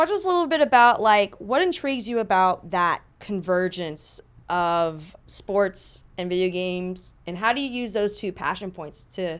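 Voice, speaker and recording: A woman speaks in a normal speaking voice at medium pitch, with lively intonation and big swings in loudness. Her pace is moderate, and the recording is very clean with a silent background. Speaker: podcast host. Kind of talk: casual interview chat.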